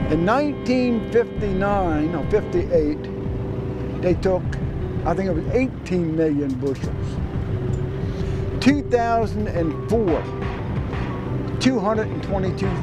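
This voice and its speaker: A man at a fairly slow pace, with long, frequent pauses, a dry sound with no echo, and loud background noise. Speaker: waterman, former oyster company worker. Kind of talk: interview answer. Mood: nostalgic, concerned. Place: waterside.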